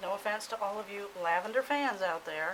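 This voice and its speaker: A woman talks over noticeable background noise. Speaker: soap maker. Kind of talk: tutorial. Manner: casual, thinking aloud.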